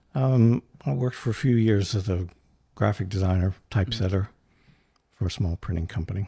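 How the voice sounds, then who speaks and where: A man's somewhat breathy, fairly low-pitched voice with a dark, mellow tone and an American accent, at a fairly quick pace with ordinary pitch variation and long, frequent pauses, over a quiet background. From North Central West Virginia. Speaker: set designer. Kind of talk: casual chat.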